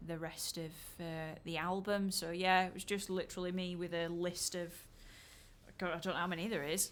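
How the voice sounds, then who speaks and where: A woman speaks in a Yorkshire accent at a fairly low pitch. Her intonation is monotone and flat, and her pace is moderate. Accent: broad Yorkshire. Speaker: musician discussing own album. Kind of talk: casual podcast chat.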